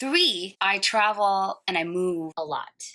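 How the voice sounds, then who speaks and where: This woman has a medium pitch and a bright, sharp tone. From Singapore. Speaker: singer and show host. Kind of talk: personal vlog narration. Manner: animated, jokey.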